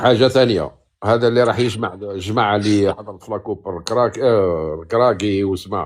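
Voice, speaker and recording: Fairly low in pitch, a man talks at a moderate pace in an unremarkable speaking voice with ordinary pitch variation. The recording is very clean, with a silent background. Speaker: caller. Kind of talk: casual chat.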